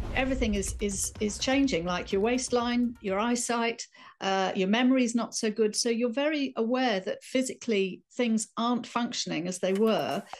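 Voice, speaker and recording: Recorded very cleanly against a silent background, a woman with a British accent speaks at a fairly high pitch and a moderate pace, with ordinary pitch variation and hardly any pauses. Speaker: writer and life coach. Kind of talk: interview.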